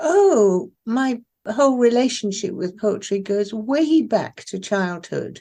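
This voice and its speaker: A woman's fairly high voice in an RP accent, dark and mellow in tone, with lively intonation and a very slow pace. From southern England (Isle of Wight boarding school), born in Iran. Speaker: poet. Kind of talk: interview.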